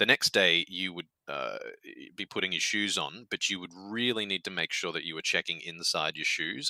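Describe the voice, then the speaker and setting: Recorded with a dry, close sound and no echo, a man with an Australian accent speaks at a very deep, low pitch, with a bright, sharp tone and ordinary pitch variation. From Australia, Queensland. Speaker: game community guest on developer podcast. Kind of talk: casual interview chat. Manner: animated, some stammering.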